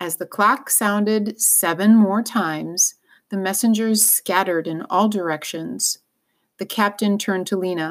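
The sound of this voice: Quiet surroundings and an unforced reading voice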